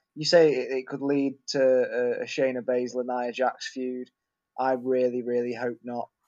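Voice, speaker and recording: With a Lincolnshire accent, a man talks at a fairly slow pace in a monotone, flat intonation. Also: medium pitch for a man. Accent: northern English (Lincolnshire). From northern England, Grimsby. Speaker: wrestling fan podcast guest. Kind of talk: casual chat.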